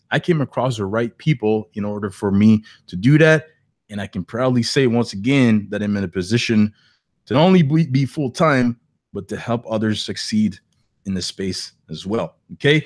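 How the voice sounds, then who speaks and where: A man speaks with lively intonation and a slight non-native accent. The sound is dry and close, with no echo. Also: medium pitch for a man, moderate pace. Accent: slight foreign. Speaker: online entrepreneur, webinar host. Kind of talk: webinar presentation. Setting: live online webinar.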